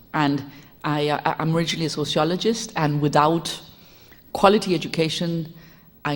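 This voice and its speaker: Audible room echo surrounds a woman speaking with a Spanish accent at a very deep, low pitch, with ordinary pitch variation. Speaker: education reformer and sociologist. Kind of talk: lecture. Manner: fast.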